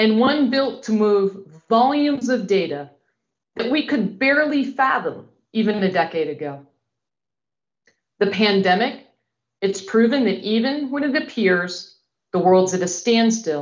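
The background is quiet. A woman speaks at a fairly slow pace. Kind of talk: welcome address. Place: home room.

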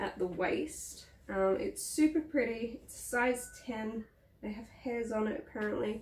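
This woman has an Australian accent and a fairly high pitch. She talks at a fairly slow pace with lively intonation. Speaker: vlogger. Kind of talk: casual vlog haul. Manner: chatty, hesitant with many ums. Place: home room. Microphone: camera far.

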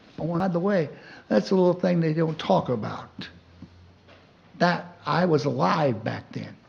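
Speech comes at a moderate pace with lively intonation and long, frequent pauses. The room echo is audible. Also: man, fairly high pitch for a man. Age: 70s. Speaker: public commenter. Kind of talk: public comment. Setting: city council meeting.

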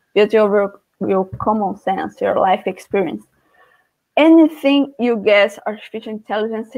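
Against a quiet background, a woman speaks at a fairly slow pace in a Portuguese accent. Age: 20s. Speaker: student; guest teacher presenting a class. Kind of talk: lecture. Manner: halting. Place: home room. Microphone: webcam.

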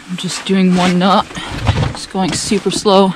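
There is noticeable background noise as a woman talks at a moderate pace. The sound is dry with no echo. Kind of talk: casual vlog chat. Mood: tense, careful. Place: boat. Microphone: phone near.

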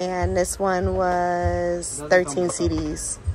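Faint music sits behind a woman's voice, which has a dry sound with no echo. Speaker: shopper vlogger. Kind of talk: casual vlog chat. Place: shop. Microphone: phone near.

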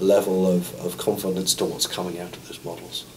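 A man with a southern English accent and a very deep, low voice over light background noise. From Sussex, England. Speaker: parachute engineer. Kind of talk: interview answer. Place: meeting room.

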